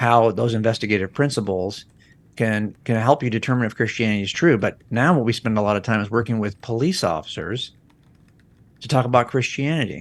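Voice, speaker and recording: This man has an ordinary speaking voice with a fairly low pitch. He talks at a fairly quick pace. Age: 60s. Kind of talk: podcast interview.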